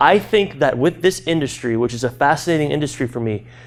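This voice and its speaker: A man's very fast, animated voice with vocal fry and an American accent. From US Midwest (Peoria, Illinois). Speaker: keynote speaker. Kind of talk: keynote talk. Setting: stage with audience.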